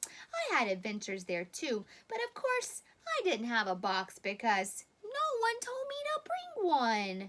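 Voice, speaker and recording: Her voice pitched high, a woman speaks at a fairly slow pace. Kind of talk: bedtime story. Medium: read story. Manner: earnest, chatty.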